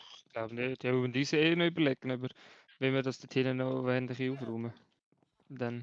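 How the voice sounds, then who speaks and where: With a Swiss accent, a man speaks at a fairly quick pace and medium pitch in a monotone, flat intonation. His loudness swings widely, broken by long, frequent pauses. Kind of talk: casual gaming commentary.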